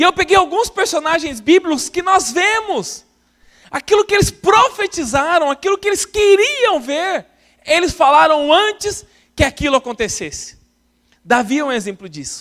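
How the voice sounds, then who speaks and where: At a moderate pace, a man speaks in an extremely high pitch with very wide pitch swings and a bright, sharp tone. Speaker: pastor. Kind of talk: sermon.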